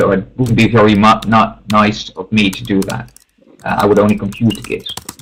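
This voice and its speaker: The speaker, with a Dutch accent, talks at a fairly quick pace. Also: man. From Netherlands. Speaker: math teacher giving a webinar. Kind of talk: webinar presentation. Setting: online webinar.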